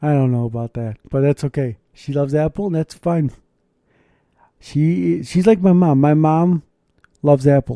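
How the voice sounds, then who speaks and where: On a very clean, dry, close recording with no echo and a silent background, a man with a dark, mellow tone and fairly high pitch speaks at a moderate pace with lively intonation and long, frequent pauses. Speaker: podcast host and chaplain. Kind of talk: casual chat. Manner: rambling, chatty.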